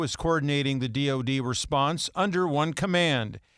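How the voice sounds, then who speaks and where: On a very clean recording with a silent background, a man with an unremarkable speaking voice talks at a moderate pace and a fairly high pitch. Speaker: news anchor. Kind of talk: news reading. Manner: formal, steady, brisk.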